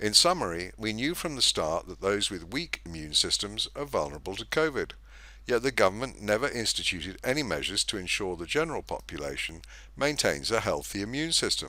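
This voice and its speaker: A man talks at a fairly quick pace, and the recording is very clean against a silent background. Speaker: narrator. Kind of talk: scripted narration.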